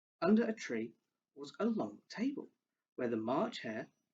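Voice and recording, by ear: Reading aloud in a natural voice, the speaker is heard against a quiet background.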